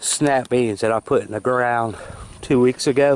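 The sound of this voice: A man speaks at a slow pace with a medium pitch. His tone is slightly mellow.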